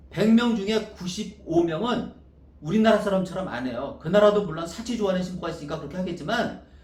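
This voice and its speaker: The speaker talks at a very fast pace in an animated tone, with ordinary pitch variation and big swings in loudness. Noticeable background noise and audible room echo fill the recording. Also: man, high pitch for a man. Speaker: wedding dress designer and business owner. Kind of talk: sales pitch. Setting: self-recorded video.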